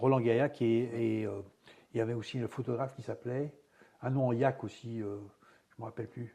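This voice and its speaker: A man talks with monotone, flat intonation, leaving long, frequent pauses. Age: 70s. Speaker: retired karate champion. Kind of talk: interview.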